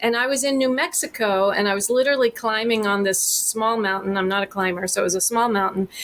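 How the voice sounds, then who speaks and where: A woman with an American accent talks at a very fast pace, with hardly any pauses and very even loudness. Her fairly high voice shows ordinary pitch variation over noticeable background noise. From Texas. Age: 50s. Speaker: therapist. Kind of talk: podcast interview.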